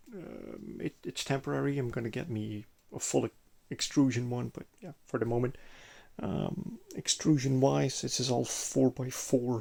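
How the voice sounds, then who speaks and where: In a Belgian accent, a man with a dark, mellow tone and medium pitch speaks at a moderate pace, his intonation lively and his loudness swinging widely. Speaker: sim gaming hobbyist. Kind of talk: casual walkthrough video. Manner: halting, many hesitations.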